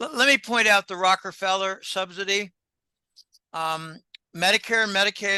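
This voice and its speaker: A man projects a raised, bright and sharp voice at a high pitch, with ordinary pitch variation, a moderate pace and a dry, close sound with no echo. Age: old. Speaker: economic analyst. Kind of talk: interview. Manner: halting.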